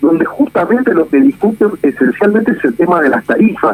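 There is noticeable background noise as a man with a high pitch speaks at a moderate pace. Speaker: political journalist. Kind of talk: radio interview.

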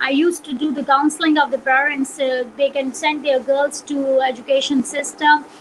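With a Pakistani Punjabi accent, a woman talks at a moderate pace and a high pitch, in a monotone, flat intonation with hardly any pauses, over noticeable background noise. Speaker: journalist. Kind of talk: interview. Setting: video call.

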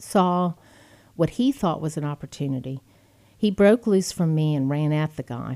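A woman with a Texan accent and a dark, mellow tone speaks with lively intonation. The recording is very clean, with a silent background. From Texas (Friendswood, Houston area). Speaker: former state legislator and gun rights advocate. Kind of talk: interview. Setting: studio.

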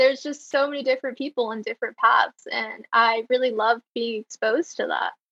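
Her voice raised and projected, a woman talks at a fairly quick pace in a bright, sharp tone. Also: dry, close sound with no echo. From Greensboro, North Carolina. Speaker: legislative aide. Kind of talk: casual chat.

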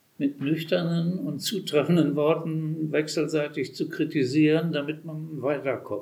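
Fairly high in pitch, a man talks very slowly with fairly even intonation. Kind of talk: panel discussion; speech.

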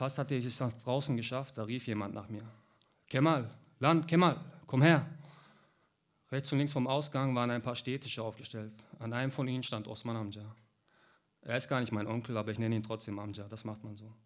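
Delivered at a fairly quick pace with fairly even intonation, the speech has long, frequent pauses on a very clean recording with a silent background. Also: man, medium pitch for a man. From Heilbronn, southwest Germany. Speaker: author. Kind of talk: reading aloud.

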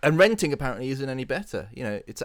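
A man speaks at a fairly quick pace with a British accent. The recording is very clean, with a silent background. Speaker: podcast co-host. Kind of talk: casual chat.

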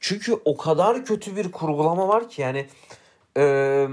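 A man speaks with a fairly high voice that swings very widely in pitch. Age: 20s. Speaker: podcast co-host, F1 commentator. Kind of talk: casual chat. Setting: studio, face to face.

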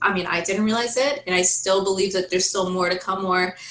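Noticeable background noise sits behind a woman speaking at medium pitch with an American accent. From Oregon, Forest Grove. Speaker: honors college student. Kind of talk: casual interview.

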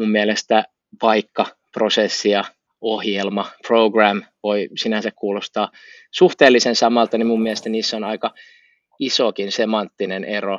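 Speaking at a fairly slow pace, a man holds a fairly low pitch with monotone, flat intonation. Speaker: podcast co-host. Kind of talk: casual chat.

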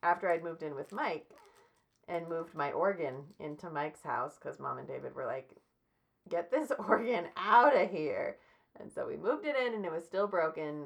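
A woman with a fairly low voice talks at a fairly quick pace with lively intonation. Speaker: podcast host. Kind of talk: casual chat. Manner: vocal fry.

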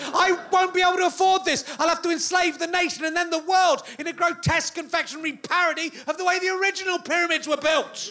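Raising and projecting his voice, a man with an English accent talks at a very fast pace with hardly any pauses, an extremely high pitch, and fairly even intonation. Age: 40s. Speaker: comedian. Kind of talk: stand-up. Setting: stage with audience.

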